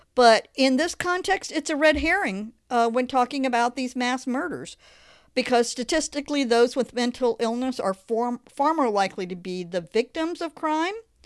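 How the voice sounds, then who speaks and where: Lively, high-pitched woman with an American accent at a moderate pace. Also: quiet background. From Florida. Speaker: podcast host. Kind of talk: solo podcast monologue. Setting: recorded in Oklahoma City. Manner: informal, halting, with fillers.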